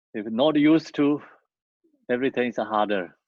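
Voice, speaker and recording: A man with a non-native accent at a moderate pace, ordinary pitch variation and a dry, close sound with no echo. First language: not English. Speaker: Buddhist teacher. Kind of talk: dharma teaching.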